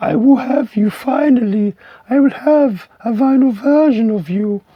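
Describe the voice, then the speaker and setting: A put-on character voice with a fairly high pitch goes along at a moderate pace. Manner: excited, emotional, talking to the record.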